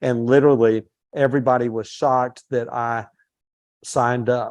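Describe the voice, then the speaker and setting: A man talks at a moderate pace in a normal speaking voice, pitched in the medium range. The background is quiet. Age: 60s. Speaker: real estate company president. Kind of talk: motivational talk to agents. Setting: live-streamed session with webinar audience.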